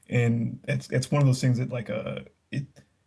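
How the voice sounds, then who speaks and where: Dark, mellow, somewhat breathy man's voice at medium pitch, with an American accent. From Texas. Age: 30s. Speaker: podcast guest. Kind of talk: casual chat.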